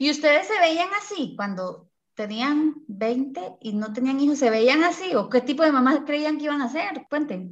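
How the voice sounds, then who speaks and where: A woman speaks with a Costa Rican accent at a high pitch. Her pitch swings very widely, and her pace is fairly slow. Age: 30s. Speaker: podcast host and mother. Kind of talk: casual chat. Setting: video call.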